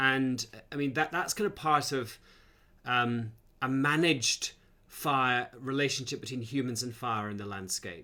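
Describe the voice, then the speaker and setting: A man speaks fairly slowly with a Scottish accent and a bright, sharp tone. His medium pitch shows ordinary variation, on a very clean recording with a silent background. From Scotland. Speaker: academic host. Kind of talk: live Q&A interview.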